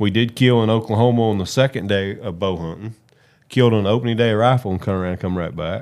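Very fast speech from a man with an American accent, a fairly low pitch, and ordinary pitch variation. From West Virginia. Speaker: hunting guide and outdoor TV host. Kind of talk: casual chat.

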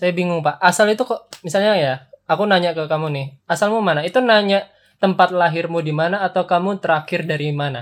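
Talking at a very fast pace, a man with a high voice uses ordinary pitch variation. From Magelang, Central Java. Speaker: podcast host. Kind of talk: casual chat.

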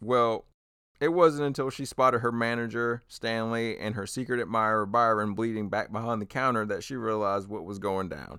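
With a plain, everyday voice, a man of medium pitch speaks at a moderate pace with ordinary pitch variation on a very clean recording with a silent background. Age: 30s. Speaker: true crime comedy podcast host. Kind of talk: casual true crime storytelling.

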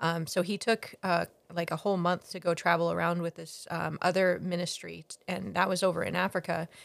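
Delivered at a fairly quick pace with an American accent, the voice has vocal fry and a monotone, flat intonation. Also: woman, fairly low pitch for a woman. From Ghana, then US Pacific Northwest. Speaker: missionary. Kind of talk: casual interview, faith testimony. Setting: home office.

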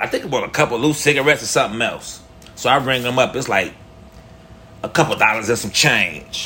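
A man talks at a medium pitch and a fairly quick pace, with an animated tone and ordinary pitch variation. Noticeable background noise runs underneath. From Chicago, Illinois. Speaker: first-time podcaster. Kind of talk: storytelling monologue. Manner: casual, slangy.

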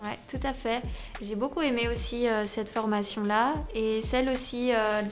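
Audible room echo surrounds a woman speaking at a fairly high pitch and a fairly slow pace with fairly even intonation. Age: 20s. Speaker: youth project participant. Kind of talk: radio interview. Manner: halting.

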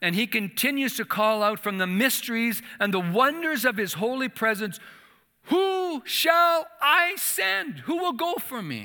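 A man talks at a fairly slow pace in an extremely high pitch with a bright, sharp tone. His raised, projected voice makes very wide pitch swings. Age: 60s. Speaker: church association leader, former missionary. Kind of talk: sermon. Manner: halting.

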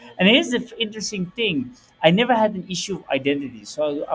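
A man talks with lively intonation, noticeable background noise behind him. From Netherlands. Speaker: entrepreneur. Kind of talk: interview.

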